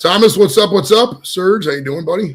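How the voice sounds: A man talks at a moderate pace with a high pitch. His intonation is lively, with a slightly husky edge.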